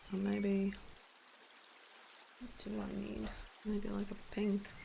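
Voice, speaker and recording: Heard through noticeable background noise and audible room echo, a woman speaks at a very slow pace. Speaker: artist live-streaming drawing. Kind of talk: casual live-stream chat.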